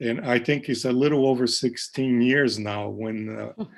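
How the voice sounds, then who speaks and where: In a quiet background, a man with a Portuguese accent speaks at a medium pitch. His pace is fairly slow and his intonation fairly even. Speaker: professor of oral medicine. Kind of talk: lecture Q&A. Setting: live online session. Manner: hesitant, many fillers.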